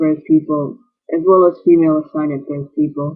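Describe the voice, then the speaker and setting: Soft-spoken, a man talks at a fairly high pitch. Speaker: vlogger. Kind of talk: video blog. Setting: borrowed bedroom. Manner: halting.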